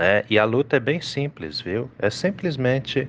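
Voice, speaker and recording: A man's speech moves at a very slow pace, its intonation lively. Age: 40s. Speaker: pastor. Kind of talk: devotional reflection.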